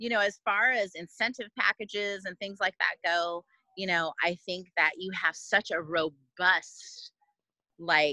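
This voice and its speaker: A woman with a Californian accent has a bright, sharp tone at medium pitch, speaking at a fairly slow pace with ordinary pitch variation in a dry, close sound with no echo. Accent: Californian American English. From US West Coast, Oakland, California. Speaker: chef and restaurant owner. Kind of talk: interview chat. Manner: soft-spoken.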